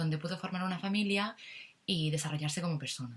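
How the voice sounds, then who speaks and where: An ordinary speaking voice from a woman, pitched fairly low. She talks at a fairly quick pace with ordinary pitch variation. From Catalonia, Spain. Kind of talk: political opinion monologue to camera.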